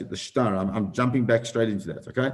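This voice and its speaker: This man's pitch varies in an ordinary way. Audible room echo surrounds his voice. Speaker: rabbi teaching Talmud class. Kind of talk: Talmud lecture with questions. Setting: live stream. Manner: fast.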